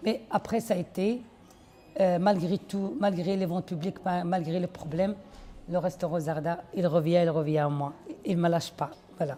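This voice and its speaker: A woman speaks at a moderate pace in a fairly low voice, with ordinary pitch variation. She leaves long, frequent pauses. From Belgium (Liège), Moroccan family. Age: 60s. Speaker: restaurant owner. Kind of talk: interview testimony. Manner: halting.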